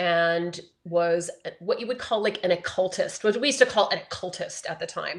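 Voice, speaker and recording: A woman with an ordinary speaking voice talks at a moderate pace with ordinary pitch variation against a quiet background. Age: 50s. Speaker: astrologer. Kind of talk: interview.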